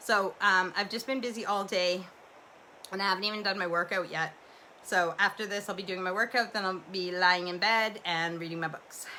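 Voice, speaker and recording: Loud and bright, sharp in tone, a woman speaks in a Canadian accent at a moderate pace, medium in pitch with fairly even intonation. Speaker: livestream host. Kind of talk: casual chat. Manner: rambling, relaxed with fillers.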